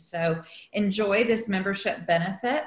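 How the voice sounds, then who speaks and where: A woman speaks with ordinary pitch variation. There is audible room echo. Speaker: event host. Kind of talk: meeting introduction. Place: home room. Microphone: video call.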